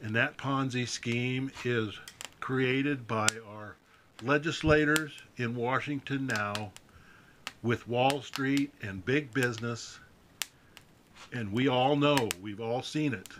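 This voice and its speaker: A man speaks at a very slow pace with long, frequent pauses and fairly even intonation. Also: medium pitch for a man. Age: 60s. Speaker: political commentator. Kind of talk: political monologue video. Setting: outdoors by a fire. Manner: folksy.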